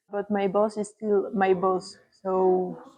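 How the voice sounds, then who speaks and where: A woman with a French accent speaks at medium pitch in a dark, mellow tone with monotone, flat intonation. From France, near Paris. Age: 20s. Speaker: volunteer library assistant. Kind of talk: interview testimony. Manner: hesitant, with fillers.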